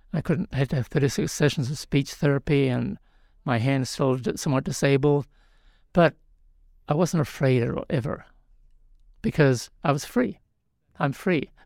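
A man with a New Zealand accent and long, frequent pauses, in a very clean recording with a silent background. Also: fairly high pitch for a man, ordinary pitch variation, moderate pace, dry, close sound with no echo. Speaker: spiritual teacher and author. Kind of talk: interview. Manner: halting, with frequent restarts.

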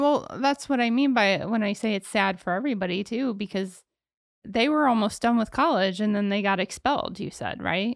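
In an ordinary speaking voice, a woman talks at a fairly quick pace with a fairly high pitch and ordinary pitch variation. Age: 40s. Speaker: podcast co-host. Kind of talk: casual chat.

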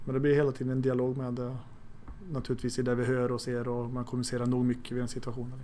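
In a room with audible echo, a man talks very fast in a monotone, flat delivery. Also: medium pitch for a man. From Sweden, Arvika (Värmland). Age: 40s. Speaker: goalkeeping coach and police officer. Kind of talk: interview. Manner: halting.

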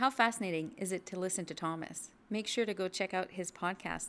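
A woman talks at a fairly quick pace in a normal speaking voice. Her pitch is medium, with ordinary variation. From French Canada. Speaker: podcast host. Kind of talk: interview.

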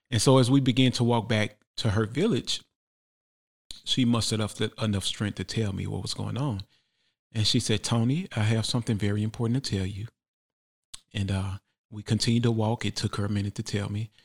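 Somewhat breathy speech in an American accent at a fairly quick pace, with long, frequent pauses, fairly even intonation, a very clean recording on a silent background, and a dry, close sound with no echo. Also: man, medium pitch for a man. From Memphis, Tennessee (US South). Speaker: artist. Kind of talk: interview storytelling. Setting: studio.

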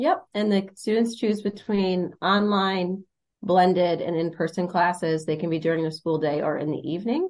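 A plain, everyday voice, a woman of medium pitch with an American accent, moderate pace and ordinary pitch variation. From Michigan, Monroe County. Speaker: high school counselor. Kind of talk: podcast interview, explanatory.

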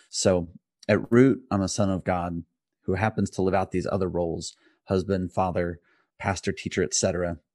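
With an American accent, a man speaks at a very deep, low pitch and fairly even intonation, recorded dry and close with no echo against a quiet background. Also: moderate pace. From US Midwest (rural Indiana). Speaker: pastor. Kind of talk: casual interview.

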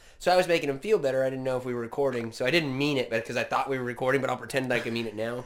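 Speaking very fast with an American accent, a man sounds animated, his pitch varying in an ordinary way over noticeable background noise. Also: medium pitch for a man, hardly any pauses. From California and Washington, US. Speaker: podcast co-host, former opera singer. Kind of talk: casual chat, joking. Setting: video call on Zoom. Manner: loud, animated.

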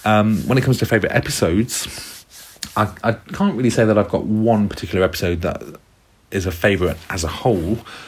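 Through noticeable background noise, a man rattles along at a very fast pace, his fairly low pitch showing ordinary variation. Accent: British. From UK. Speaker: former English teacher. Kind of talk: recorded monologue.

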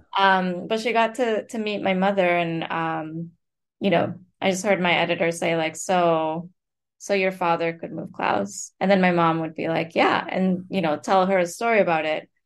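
A woman with a Spanish accent talks at a moderate pace over a quiet background. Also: fairly even intonation. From Colombia (Bogota). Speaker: author and writing professor. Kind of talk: interview conversation.

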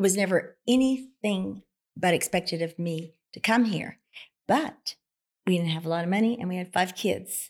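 A woman speaks in an ordinary speaking voice with an American accent, at medium pitch with ordinary pitch variation. Her moderate pace comes through on a very clean recording with a silent background. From rural southwest Oklahoma. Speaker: accountant and philanthropist. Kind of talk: casual interview.

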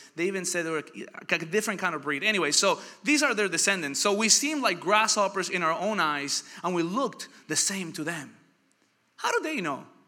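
A man talks in a raised, projected voice with high pitch and an animated tone. His intonation is lively and his pace fairly quick. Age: 30s. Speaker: pastor. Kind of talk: sermon.

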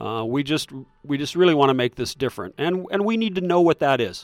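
In a Midwestern American accent, the speaker goes at a fairly quick pace with lively intonation, the sound dry and close with no echo. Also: man, very clean recording, silent background. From US Midwest, south central Iowa. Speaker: magazine founder and former cattle farmer. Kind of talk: casual interview.

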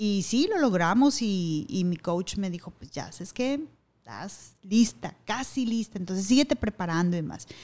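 At a fairly slow pace, a woman with medium pitch speaks with big swings in loudness. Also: lively intonation. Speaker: radio announcer and TV news anchor. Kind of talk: casual interview.

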